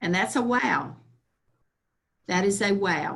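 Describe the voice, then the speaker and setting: In a Southern US accent, a woman speaks slightly breathily at a fairly slow pace with lively intonation. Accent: Southern US (Georgia). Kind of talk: workshop presentation. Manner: slow-paced.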